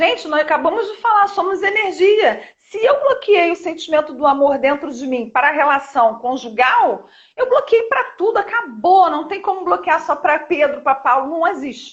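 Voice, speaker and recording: A woman speaks at an extremely high pitch and a moderate pace with hardly any pauses. Her pitch swings very widely. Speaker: therapist. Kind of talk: live stream chat. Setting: live stream. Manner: talkative.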